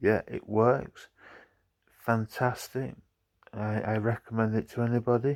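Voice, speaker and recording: Mumbling in a northern English accent, a man speaks at a fairly slow pace with monotone, flat intonation and long, frequent pauses, in a dry, close sound with no echo on a very clean recording with a silent background. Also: medium pitch for a man. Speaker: vlogger. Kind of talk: casual vlog chat.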